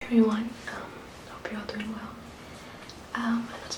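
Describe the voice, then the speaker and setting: A woman is whispering at a fairly quick pace. Behind her there is noticeable background noise. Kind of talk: ASMR card trick video. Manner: soft-spoken.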